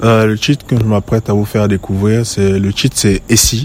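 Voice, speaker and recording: A man's fairly low voice with fairly even intonation, over noticeable background noise. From western Cameroon. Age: 20s. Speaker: musician. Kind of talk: recorded interview answers.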